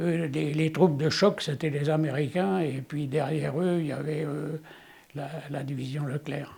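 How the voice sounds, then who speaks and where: Speaking at a fairly high pitch with ordinary pitch variation, a man has a dark, mellow tone. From France, Le Mans area (Sarthe). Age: 90s. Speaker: war witness. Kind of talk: testimony. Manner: halting, with many hesitations.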